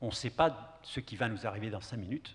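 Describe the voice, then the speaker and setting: This is a man speaking. His voice is somewhat breathy. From Kurdish southeast Turkey. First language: Kurdish (speaking French). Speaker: poet. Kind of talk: panel discussion answer. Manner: halting. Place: stage. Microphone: handheld.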